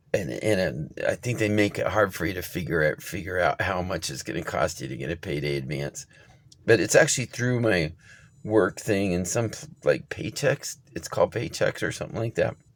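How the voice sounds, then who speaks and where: The voice carries vocal fry and moves through very wide pitch swings. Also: man, very deep, low pitch for a man. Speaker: vlogger. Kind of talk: casual vlog monologue. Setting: in a car. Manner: fast; halting.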